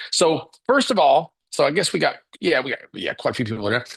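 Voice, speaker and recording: Over a quiet background, a man talks with a Kentucky accent. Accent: Southern US (Kentucky). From Kentucky (Paducah). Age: 60s. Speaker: business coach. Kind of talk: live webinar talk. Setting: livestream. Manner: casual, filler-heavy.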